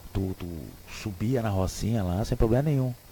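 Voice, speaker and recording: A man speaks with a fairly low pitch and a somewhat breathy voice. His intonation is lively. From Rio Grande do Sul, southern Brazil. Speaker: radio host. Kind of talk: radio talk show commentary. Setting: radio studio. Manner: casual, hesitant with repetitions.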